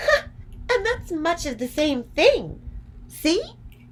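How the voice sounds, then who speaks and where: In a put-on character voice, a woman speaks squeaky and extremely high, with very wide pitch swings and a warm, gentle tone. She goes very slowly over light background noise. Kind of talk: bedtime story. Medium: read story.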